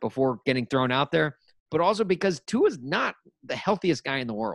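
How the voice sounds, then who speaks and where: At a moderate pace comes a plain, everyday voice. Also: man. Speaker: podcast host. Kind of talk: casual sports podcast chat.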